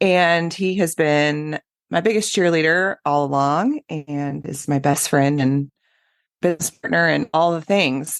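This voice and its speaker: A woman with a Midwestern US accent, a very deep, low pitch with ordinary pitch variation, and a fairly slow pace, with a quiet background and a dry, close sound with no echo. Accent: US Midwest. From Kansas, Wichita. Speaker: podcast co-host, pelvic health physical therapist. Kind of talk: casual interview chat.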